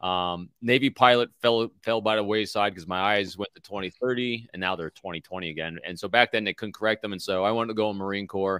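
A man with an American accent talks at a fairly quick pace, with hardly any pauses and fairly even intonation, in a fairly low voice with a bright, sharp tone. The recording is very clean, with a silent background and a dry, close sound with no echo. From New York. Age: 50s. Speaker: former FBI agent and executive coach. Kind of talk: casual interview.

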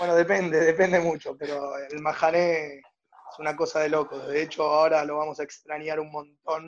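A man with a Rioplatense accent, fairly high-pitched, at a moderate pace and in a flat, monotone delivery. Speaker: youth movement director. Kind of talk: casual interview.

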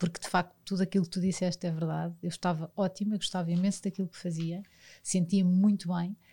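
Speaking at a very fast pace, a woman uses a fairly low, somewhat breathy voice with a dark, mellow tone and big swings in loudness. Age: 40s. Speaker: sports federation commercial director. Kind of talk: interview. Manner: animated.

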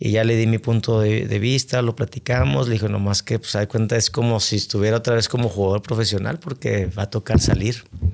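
At a moderate pace, the speaker uses a normal speaking voice with ordinary pitch variation. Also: man. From Monterrey, Mexico. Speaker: football coach. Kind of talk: interview.

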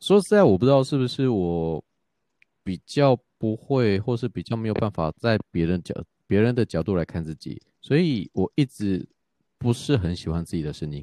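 With a dark, mellow tone and fairly low pitch, a man talks at a moderate pace with lively intonation, the sound dry and close with no echo against a quiet background. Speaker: podcaster and office worker. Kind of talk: casual chat.

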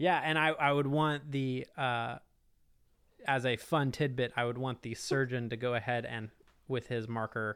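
At a moderate pace, a man with an unremarkable speaking voice talks in a medium pitch with fairly even intonation. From Texas (Houston), high school in Augusta, Georgia. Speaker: board game company founder. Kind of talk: casual interview chat.

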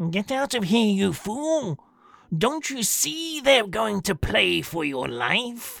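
This is a put-on character voice, shrill and fairly high. It moves at a very slow pace with very wide pitch swings. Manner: urgent, warning.

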